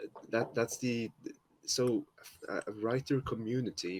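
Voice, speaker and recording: A man with a Norwegian accent talks at a very slow pace in a dry, close sound with no echo. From Norway. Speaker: fanfiction writer. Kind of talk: casual chat.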